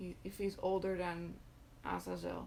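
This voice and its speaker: A woman with a non-native accent and medium pitch speaks at a very slow pace. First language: not English. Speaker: occult content creator. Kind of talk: live stream talk. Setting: live video stream. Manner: halting, many filler words.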